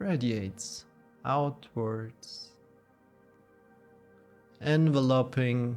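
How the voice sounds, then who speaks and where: Very slow speech with ordinary pitch variation over music in the background. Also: man. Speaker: yoga nidra guide. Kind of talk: guided meditation. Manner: slow, soft-spoken.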